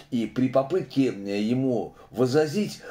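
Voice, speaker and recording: The speaker is a man with a medium pitch and a dark, mellow tone. He talks at a very slow pace. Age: 60s. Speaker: opposition video blogger. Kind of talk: casual monologue commentary. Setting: video monologue to camera. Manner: filler-heavy, halting. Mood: critical, earnest. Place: home room. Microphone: phone near.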